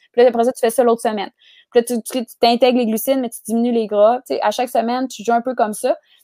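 A woman with a Quebec accent talks at a very fast pace in a dark, mellow tone with monotone, flat intonation and big swings in loudness. The recording is very clean, with a silent background and a dry, close sound with no echo. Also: fairly high pitch for a woman. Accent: Québécois French. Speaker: nutritionist. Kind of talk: casual interview chat.

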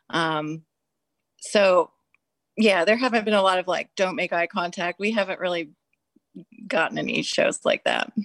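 A woman's medium-pitched voice at a moderate pace with ordinary pitch variation and long, frequent pauses, in a very clean, dry, close recording with no echo and a silent background. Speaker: rock band musician. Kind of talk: casual interview.

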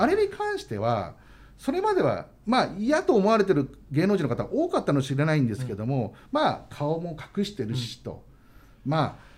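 Big swings in loudness from a man talking at a moderate speed. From Saitama, Japan. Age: 40s. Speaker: entertainment news editor. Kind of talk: radio interview. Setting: radio studio.

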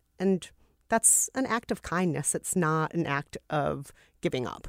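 A woman's fairly low-pitched voice in a Minnesota accent, on a very clean recording with a silent background. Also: dry, close sound with no echo. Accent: Minnesotan American English. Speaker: podcast host. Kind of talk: casual chat.

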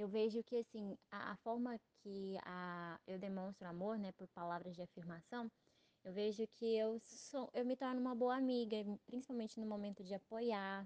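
A woman with a fairly high pitch and a dark, mellow tone speaks at a moderate pace with fairly even intonation, in a dry, close sound with no echo. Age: 20s. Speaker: podcast host. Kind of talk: casual chat.

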